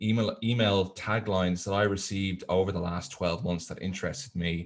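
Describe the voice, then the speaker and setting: With a Dublin accent, a man talks at a fairly quick pace. His pitch is fairly low. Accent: Irish, Dublin, moderately strong. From Ireland, Dublin. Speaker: tourism software presenter. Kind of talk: webinar presentation. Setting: online webinar. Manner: hesitant, many fillers.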